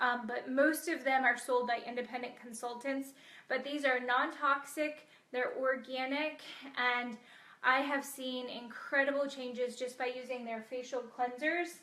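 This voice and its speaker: Speaking at a fairly slow pace, a woman uses a raised, projected, high voice with a bright, sharp tone and flat, monotone intonation. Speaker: chiropractor-style health doctor hosting a live video. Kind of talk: casual live-stream talk. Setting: live video stream.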